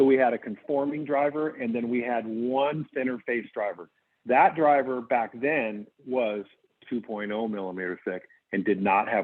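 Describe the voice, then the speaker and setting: With a plain, everyday voice, a man speaks at medium pitch and a moderate pace with ordinary pitch variation. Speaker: golf company CEO. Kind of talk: Q&A on a video call.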